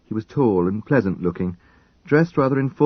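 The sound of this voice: An unforced reading voice is heard. Its intonation moves in a lively way.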